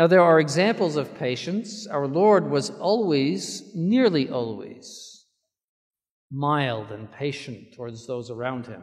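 A man talks at a very slow pace against a quiet background. His voice makes very wide pitch swings and big swings in loudness. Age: 70s. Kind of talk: sermon. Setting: church. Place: church. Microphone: podium.

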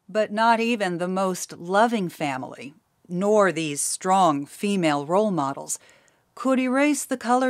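A woman speaks at a fairly slow pace with a medium pitch and lively intonation, in an ordinary speaking voice. The recording is very clean with a silent background. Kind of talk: documentary narration.

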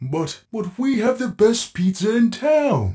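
A cartoonish character voice at a fairly slow pace. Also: man, high pitch for a man. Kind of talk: cartoon voice acting. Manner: cheerful, eager, friendly.

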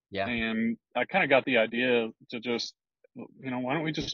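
A man with a Texan accent speaks at medium pitch, the sound dry with no echo and the background quiet. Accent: Texan American. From Texas (Houston, then small-town Brenham); Texas. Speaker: builder; podcast guest. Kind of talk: casual interview chat. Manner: halting, many repetitions and fillers. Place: car. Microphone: earbuds.

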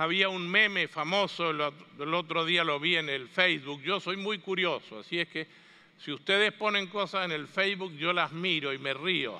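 Against a quiet background, the speech moves at a moderate pace with ordinary pitch variation. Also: man, high pitch for a man. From Argentina (Mendoza); Argentina. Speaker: catechetics speaker; speaker. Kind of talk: conference talk. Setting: stage with audience. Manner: animated. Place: hall.

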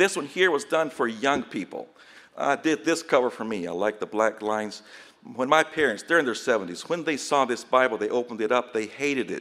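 A man's plain, everyday voice at a medium pitch, with lively intonation and a fairly quick pace. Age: 40s. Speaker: missionary Bible publisher. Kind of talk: conference presentation.

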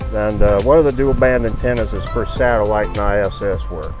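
Clear music in the background, with a dry sound and no echo. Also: man. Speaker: radio amateur. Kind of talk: interview answer. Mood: friendly, relaxed. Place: open country. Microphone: phone near.

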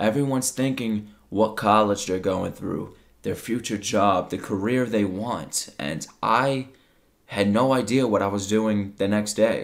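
Speaking fairly slowly at a fairly low pitch, a man uses ordinary pitch variation over a quiet background. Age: 20s. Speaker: YouTuber and streamer; YouTuber, streamer. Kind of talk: personal testimony monologue. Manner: emotional, unscripted. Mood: reflective, vulnerable. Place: home room.

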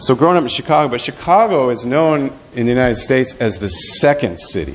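With an American accent and an unremarkable speaking voice, a man talks at a medium pitch with lively intonation over light background noise. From US Midwest. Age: 50s. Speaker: pastor. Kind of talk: talk about ministry; sermon. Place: church.

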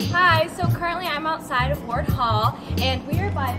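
A woman talks at a moderate pace, and clear music can be heard behind her. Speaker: student tour guide. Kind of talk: casual tour narration. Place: street. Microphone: camera far.

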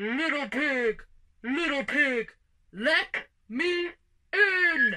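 Pitched high, a put-on character voice delivers the lines. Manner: menacing, gruff.

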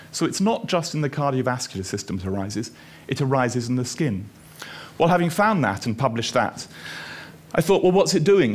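A man speaks at a fairly quick pace, his pitch swinging very widely. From Scotland, Edinburgh. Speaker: dermatologist and researcher. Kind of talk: lecture. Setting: stage with audience. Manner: halting. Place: stage. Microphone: headset.

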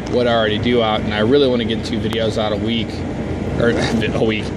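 A man at a fairly quick pace, dry sound with no echo, loud background noise behind him. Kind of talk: casual vlog chat. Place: farm machine. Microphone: phone near.

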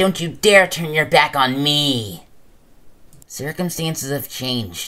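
In a put-on character voice, low-to-middle in pitch, someone speaks at a fairly slow pace on a very clean recording with a silent background. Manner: serious, intense, accusing.

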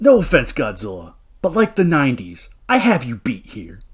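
A put-on character voice from a man, pitched high and delivered at a moderate pace. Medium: role play. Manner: casual, boastful.

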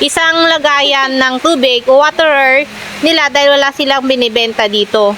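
A woman's raised, projected voice, high in pitch, with ordinary pitch variation at a moderate pace, against noticeable background noise. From Pangasinan, Philippines. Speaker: vlogger, duck farmer. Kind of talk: casual vlog narration.

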